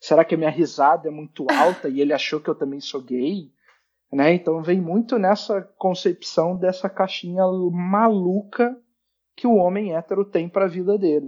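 With ordinary pitch variation, a man speaks high for his sex at a moderate pace. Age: 20s. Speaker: podcast guest, social media creator on masculinity. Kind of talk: casual chat.

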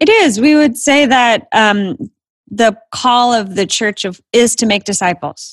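With a plain, everyday voice, a woman with an American accent talks at a fairly slow pace, her fairly high pitch rising and falling in lively intonation. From Florida. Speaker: ministry organization CEO. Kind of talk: interview.

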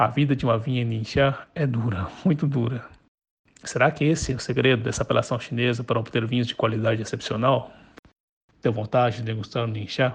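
At a fairly quick clip, a man talks in a somewhat breathy voice, his intonation fairly even. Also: medium pitch for a man. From Brazil, Chinese parents. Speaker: wine enthusiast. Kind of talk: prepared voice message narration. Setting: WhatsApp voice messages.

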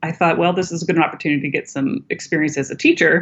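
A woman talks in an American accent with a fairly low pitch. She has an ordinary speaking voice with ordinary pitch variation. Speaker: nonprofit founder, educator. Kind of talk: interview, casual conversation.

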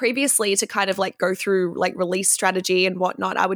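With an Australian accent, a woman of medium pitch sounds enthusiastic. The recording is very clean and dry, close with no echo and a silent background. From Victoria, Australia. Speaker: music marketing consultant and band singer. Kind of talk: casual interview chat.

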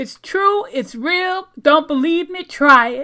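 In a very clean recording with a silent background, a woman speaks at a very slow pace. Her raised, projected voice is extremely high in pitch, with a bright, sharp tone. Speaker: motivational podcaster. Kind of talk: pep talk, affirmations with a preacher-like tone. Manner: animated; emphatic, commanding, motivational.

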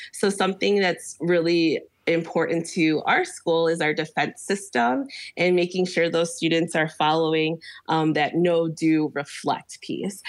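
At a moderate pace and with a quiet background, a speaker with an American accent uses an unremarkable speaking voice. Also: woman. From Chicago. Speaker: teacher. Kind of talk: interview conversation.

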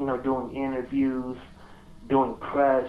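This is a man speaking at a medium pitch. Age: young. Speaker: podcast guest, music fan. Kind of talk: casual chat.

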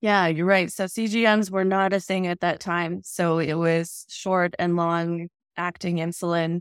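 In a very clean recording with a silent background, a woman with a fairly low voice and a slight Canadian accent speaks fairly slowly in a monotone, flat intonation. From Edmonton, Alberta, Canada. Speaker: counsellor and therapist. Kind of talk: casual interview chat.

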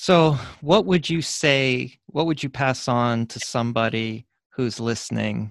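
A man talks in an unremarkable speaking voice at a medium pitch and a fairly slow pace. His pitch varies in an ordinary way, and the recording is very clean with a silent background. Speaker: podcast host. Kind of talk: interview.

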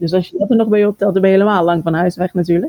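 A woman's voice has a dark, mellow tone and ordinary pitch variation. The sound is dry and close, with no echo. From Netherlands, Haarlem and Amsterdam. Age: 40s. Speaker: ultrarunner. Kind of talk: interview. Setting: remote call.

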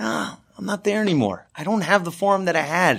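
A man with an American accent uses a raised, projected voice with a bright, sharp tone. He keeps a moderate pace on a very clean recording with a silent background. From US West Coast, Los Angeles. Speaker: rabbi. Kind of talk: Torah lesson. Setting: studio.

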